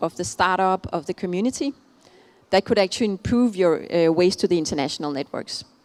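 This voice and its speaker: A woman with a Danish accent talks fairly quickly at a medium pitch with lively intonation, in a dry, close sound with no echo. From Denmark. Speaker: keynote speaker on innovation. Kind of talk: keynote speech. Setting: conference stage with audience. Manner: hesitant, many fillers.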